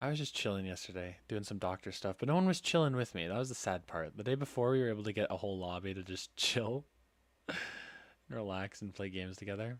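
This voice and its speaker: On a very clean recording with a silent background, a man talks at a very fast pace, his fairly low pitch showing ordinary variation. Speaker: gaming streamer. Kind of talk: casual live stream chat while drawing. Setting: live stream. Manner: halting, stumbles over words.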